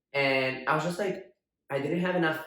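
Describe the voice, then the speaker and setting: A man's voice with audible room echo. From Brazil. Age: 20s. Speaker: drag performer. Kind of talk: casual chat.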